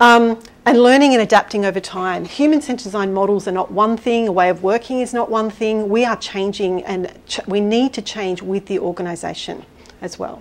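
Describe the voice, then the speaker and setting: A woman speaks at a moderate pace with a fairly high pitch. Noticeable background noise runs underneath. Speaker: design consultant. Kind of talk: conference talk; audience Q&A. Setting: stage with audience.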